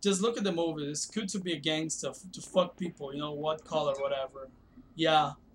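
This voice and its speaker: A man with a Brazilian Portuguese accent, fairly high pitch and ordinary pitch variation, with noticeable background noise. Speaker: video game streamer. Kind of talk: casual live-stream chat. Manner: hesitant, many fillers.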